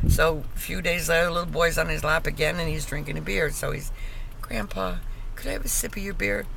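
Noticeable background noise, a woman at a moderate speed, and a dry sound without echo. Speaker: grandmother. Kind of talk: casual joke telling. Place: car. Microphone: phone near.

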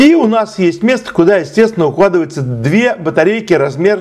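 A man with a high pitch and lively intonation speaks against noticeable background noise. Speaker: channel host and tech tutorial presenter. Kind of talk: tutorial. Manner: slow, detailed explanation.

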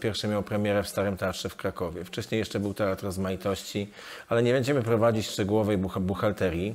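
A man speaks in an ordinary speaking voice, fairly low in pitch, with ordinary pitch variation. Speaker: event host interviewer. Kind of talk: interview introduction. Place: hall. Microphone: lapel.

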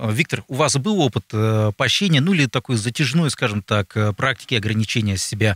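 Speech moves at a moderate pace with very even loudness. The background is quiet and the sound is dry with no echo. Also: man. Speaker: radio talk show host. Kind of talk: interview questions. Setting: studio. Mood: calm, polite. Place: studio. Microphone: studio mic.

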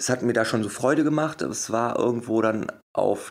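Speaking at a fairly slow pace, a man uses lively intonation with audible vocal fry. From Germany, Wuppertal. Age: 30s. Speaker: hypnosis coach and motivational speaker. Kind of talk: interview.

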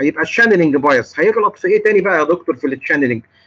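Bright and sharp in tone, a man's voice rides a high pitch. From Egypt. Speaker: clinical pharmacist lecturer. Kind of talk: lecture. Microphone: video call.

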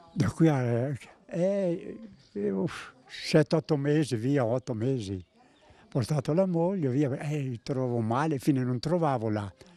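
In a dry recording with no echo, a man with a dark, mellow tone talks very slowly, his intonation lively. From Emilia, Italy (Piacenza area); Emilia, Italy. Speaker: care home resident; interviewee. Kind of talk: interview. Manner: halting. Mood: cheerful, reminiscing. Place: garden. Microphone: handheld.

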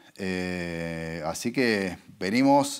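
A man speaks with a Rioplatense accent and lively intonation. The background is quiet. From Argentina. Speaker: advertising agency executive; interviewee. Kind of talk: interview. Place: studio.

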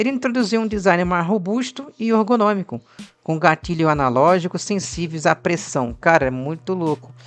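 Here a man speaks in a high pitch with lively intonation. His pace is moderate. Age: 30s. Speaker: gaming youtuber. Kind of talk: casual video commentary. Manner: animated.

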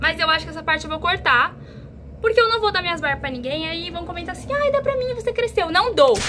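Over light background noise, a woman projects a raised voice at an extremely high pitch with very wide pitch swings. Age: 20s. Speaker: youtuber. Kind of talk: casual vlog. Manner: animated. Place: home room. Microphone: phone near.

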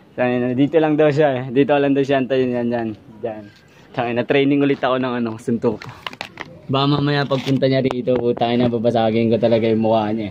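In a dry recording with no echo and light background noise, a man talks at a very fast pace with fairly even intonation. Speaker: vlogger. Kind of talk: casual vlog chat, agitated. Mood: angry, aggressive, swearing. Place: street. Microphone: phone near.

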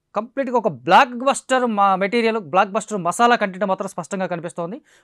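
Recorded very cleanly against a silent background, a man speaks fast in a fairly bright tone.

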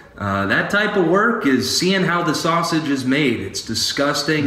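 A man at a moderate pace with lively intonation, amid audible room echo. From Louisiana. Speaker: criminal defense attorney; guest. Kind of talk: interview. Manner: halting, many fillers. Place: office. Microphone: earbuds.

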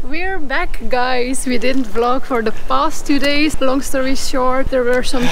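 The speaker talks at a fairly slow pace. Faint music plays in the background. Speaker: travel vlogger. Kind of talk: casual vlog chat. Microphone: phone near.

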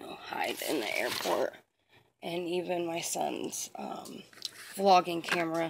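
Very slow speech from a woman, amid noticeable background noise. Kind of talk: casual vlog chat. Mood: playful, mischievous. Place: home room. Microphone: phone near.

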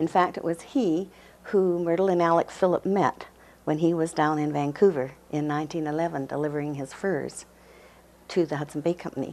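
At a moderate pace, a woman with a Western Canadian accent speaks in a very deep, low voice with fairly even intonation. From Canada, Burnaby, British Columbia; British Columbia. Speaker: museum and archives volunteer, marriage commissioner; interviewee. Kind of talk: interview. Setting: studio. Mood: warm, reminiscent. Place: office. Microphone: lapel.

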